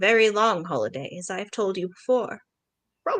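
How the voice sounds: Behind this voice the background stays quiet. It is a natural reading voice with ordinary pitch variation.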